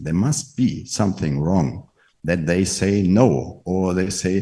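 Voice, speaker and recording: With a German accent, a man talks in a very deep, low voice that has a dark, mellow tone and vocal fry. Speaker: network marketing leader. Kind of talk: motivational talk.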